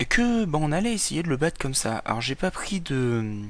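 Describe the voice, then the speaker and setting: Here a man talks at a fairly slow pace with a fairly high pitch. His pitch swings very widely. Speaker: gaming youtuber. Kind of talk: let's play commentary. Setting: at home at night. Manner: speaking quietly; halting, repeats words.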